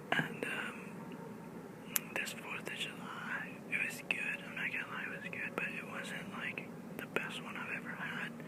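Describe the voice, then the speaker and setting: Whispering in a relaxed tone, a man speaks at a fairly slow pace against noticeable background noise. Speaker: ASMR YouTuber. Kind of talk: casual talk to camera. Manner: whispered, relaxed storytelling.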